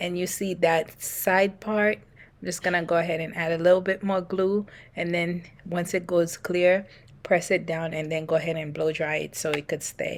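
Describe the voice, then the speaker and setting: Soft-spoken and at a fairly low pitch, a woman talks at a moderate pace in a monotone, flat intonation. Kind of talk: hair tutorial voiceover. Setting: no microphone.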